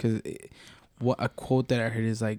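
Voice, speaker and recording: With a dark, mellow tone and flat, monotone intonation, a man speaks fairly quickly at a medium pitch, the sound dry and close with no echo. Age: 20s. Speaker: podcast co-host. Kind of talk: casual chat.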